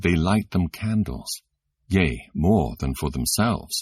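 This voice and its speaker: A man talks at a very slow pace. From Britain. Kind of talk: scripture audiobook reading. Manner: expressive, clear, natural.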